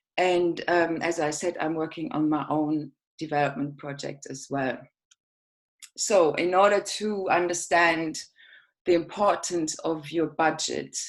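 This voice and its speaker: Fairly low-pitched woman's voice with a German accent, fairly slow pace, very clean recording and silent background. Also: fairly even intonation. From Germany. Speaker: project manager. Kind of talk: presentation.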